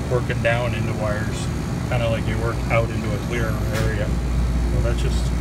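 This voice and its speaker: Loud background noise sits under speech at a fairly quick pace. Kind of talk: tutorial. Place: workshop. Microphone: phone near.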